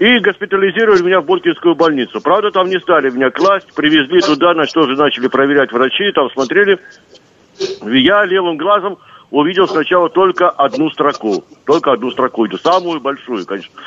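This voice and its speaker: Lively intonation carries speech that goes at a fairly quick pace. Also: man, high pitch for a man. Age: 60s. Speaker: caller, retired security officer. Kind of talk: phone-in question. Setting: phone call.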